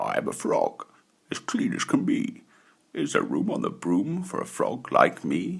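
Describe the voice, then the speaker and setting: A croaky, put-on character voice at a moderate pace. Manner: polite.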